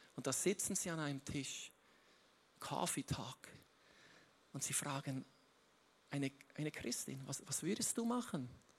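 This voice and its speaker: Speaking at a fairly slow pace with long, frequent pauses, a man uses a fairly high, somewhat breathy voice and lively intonation. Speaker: guest preacher. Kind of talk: sermon. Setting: stage with audience. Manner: halting.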